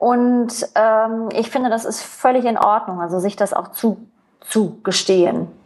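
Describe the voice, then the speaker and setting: This woman's voice sits fairly high, with fairly even intonation. She speaks at a fairly slow pace. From East Germany. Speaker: entrepreneur. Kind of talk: interview conversation. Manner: many hesitations and fillers.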